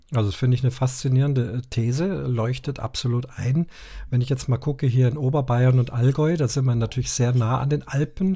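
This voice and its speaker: A man with a dark, mellow, somewhat breathy tone speaks at a fairly quick pace, with very even loudness and fairly even intonation. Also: medium pitch for a man. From Munich, Bavaria. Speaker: podcast host. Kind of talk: casual podcast chat.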